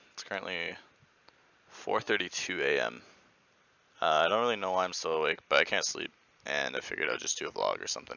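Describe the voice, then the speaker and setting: In a quiet, raspy, put-on character voice, the speaker rushes at a very fast pace yet leaves long, frequent pauses. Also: man. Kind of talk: casual vlog. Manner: speaking quietly.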